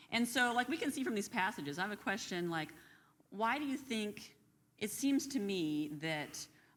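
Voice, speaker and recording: A woman talks loudly at a moderate pace, her fairly high pitch swinging very widely. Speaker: Bible class co-host. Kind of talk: Bible study discussion. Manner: animated.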